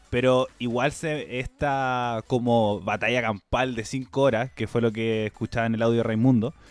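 A man with a plain, everyday voice talks at a medium pitch with fairly even intonation and hardly any pauses, in a very clean recording with a silent background and a dry, close sound with no echo. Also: fairly slow pace. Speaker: podcast host. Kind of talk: casual chat.

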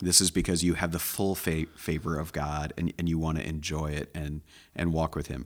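A man with a Midwestern American accent speaks at a moderate pace in a very deep, low voice. His intonation is monotone and flat, on a very clean recording with a silent background. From rural Iowa, US Midwest. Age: 50s. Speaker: pastor. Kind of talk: casual chat.

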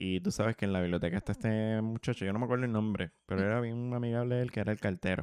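A man speaks at a very fast pace with a fairly low pitch and fairly even intonation. His loudness stays very even, and the sound is dry and close with no echo against a quiet background. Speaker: podcast co-host. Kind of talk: casual chat.

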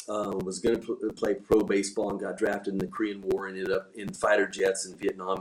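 Fairly low in pitch with ordinary pitch variation, this man has a plain, everyday voice. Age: 50s. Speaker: bull riding team coach, former pro bull rider. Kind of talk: casual interview. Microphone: audio issues.

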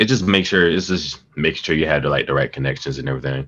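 The speaker uses vocal fry and has an American accent. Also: man. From Washington DC area, Alexandria, Virginia. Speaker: radio host and hip-hop historian. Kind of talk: casual chat.

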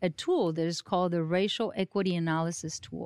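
A woman with a Mexican accent speaks at a fairly low pitch. The recording is very clean with a silent background and a dry, close sound with no echo. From Mexico. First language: Spanish. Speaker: county government administrator. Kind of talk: interview. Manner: animated.

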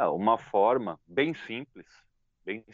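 A man speaks at a medium pitch. He has a normal speaking voice. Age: 40s. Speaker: motorcycle YouTuber. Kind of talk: casual interview chat.

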